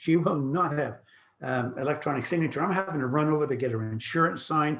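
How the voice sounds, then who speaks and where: At a fairly quick pace, a man talks with a fairly high pitch and a somewhat breathy sound. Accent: Canadian. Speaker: real estate broker. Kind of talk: online presentation. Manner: fast.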